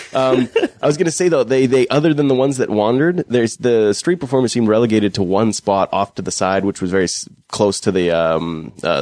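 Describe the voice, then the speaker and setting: A man with a western Canadian accent, medium in pitch, with lively intonation. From Fort McMurray, Alberta, Canada. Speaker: local guest co-host. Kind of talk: casual chat. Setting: home dining room studio.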